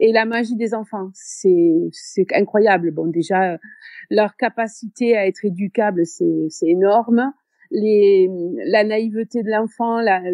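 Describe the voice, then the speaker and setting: A woman's medium-pitched voice unfolds at a very slow pace. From southern France (Béziers). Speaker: teacher. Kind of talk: interview. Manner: hesitant, many fillers.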